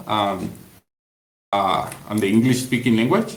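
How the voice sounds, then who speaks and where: With a Spanish accent, a man speaks at a medium pitch and a fairly slow pace, with ordinary pitch variation and audible room echo. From Latin America. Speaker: community member. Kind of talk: group call discussion. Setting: voice call on Discord. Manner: halting, many fillers.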